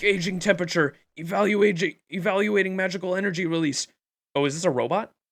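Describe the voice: Over a quiet background comes plain reading aloud.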